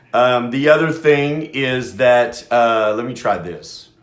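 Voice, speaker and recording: Medium-pitched speech from a man, with room echo that can be heard. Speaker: radio host. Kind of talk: casual talk radio monologue. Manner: loud; halting, many fillers.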